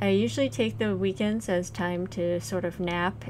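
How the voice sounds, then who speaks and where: A woman speaks with music in the background. The room echo is audible. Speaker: game developer vlogger. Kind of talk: casual devlog chat. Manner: halting, many fillers.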